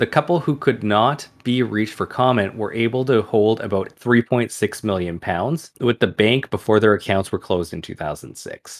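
A man with an unremarkable speaking voice talks at a medium pitch and moderate pace, with ordinary pitch variation and hardly any pauses. The recording is very clean, with a silent background. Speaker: podcast host. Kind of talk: podcast storytelling, reading article aloud.

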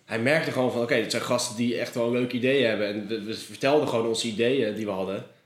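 A man talks very fast at a medium pitch. Noticeable background noise and audible room echo fill the recording. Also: fairly even intonation, hardly any pauses. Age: 20s. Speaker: freelance filmmaker. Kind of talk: casual interview. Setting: office in canal house.

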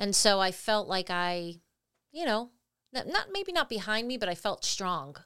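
At a moderate pace, an unremarkable speaking voice with lively intonation comes through in a very clean recording with a silent background. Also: woman, medium pitch for a woman. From Italian-American family, US. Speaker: podcast co-host. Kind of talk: casual chat.

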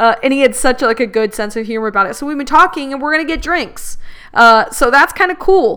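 A raised, projected voice with an animated, bright and sharp tone, lively intonation and a fairly quick pace. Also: woman, high pitch for a woman. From Middle Eastern heritage. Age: 30s. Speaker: solo podcast host. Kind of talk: casual monologue.

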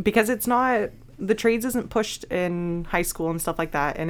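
On a very clean recording with a silent background, a woman with a normal speaking voice talks at a moderate pace with ordinary pitch variation. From British Columbia, Canada. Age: 20s. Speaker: welder. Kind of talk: casual interview.

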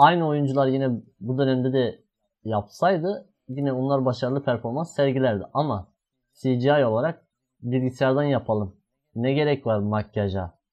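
At a moderate pace, a man with a plain, everyday voice talks at medium pitch with ordinary pitch variation. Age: 20s. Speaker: podcast host. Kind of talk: casual chat.

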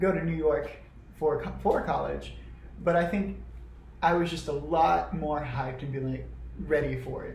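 At a moderate pace, a man with an American accent speaks amid audible room echo. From small-town South Carolina. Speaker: podcast co-host, actor and singer. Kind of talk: casual chat.

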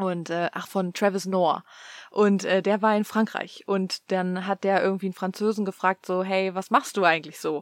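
The sound is dry and close, with no echo. The intonation stays flat and monotone. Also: woman, medium pitch for a woman, moderate pace. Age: 30s. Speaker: podcast co-host. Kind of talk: casual chat.

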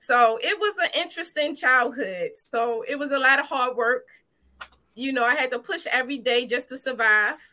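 A woman with an American accent projects a raised, high-pitched voice with a bright, sharp tone. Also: lively intonation, moderate pace. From Baltimore, Maryland, US. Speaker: business owner and former teacher. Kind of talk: interview testimony.

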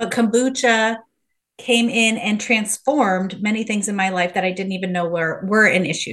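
Using an ordinary speaking voice, a woman talks at a moderate pace. Her pitch is medium, with ordinary pitch variation. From US Midwest. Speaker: kombucha educator and business founder. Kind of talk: interview conversation.

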